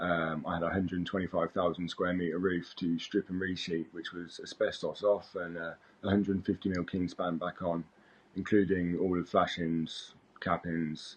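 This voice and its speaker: A man with a British accent, very deep and low-pitched, at a moderate pace in a monotone, flat intonation. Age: 30s. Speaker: roofer. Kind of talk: job interview self-introduction. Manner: hesitant, many fillers.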